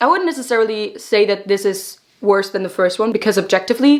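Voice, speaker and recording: Pitch variation is ordinary. The speaker has a German accent. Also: woman. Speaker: book vlogger. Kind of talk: book review vlog. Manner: casual, animated.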